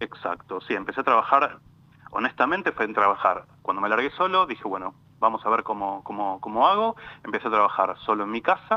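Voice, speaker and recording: Lively intonation marks this man's speech. His medium-pitched voice moves at a fairly quick pace. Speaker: lawyer specialising in European citizenship. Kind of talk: interview. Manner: halting.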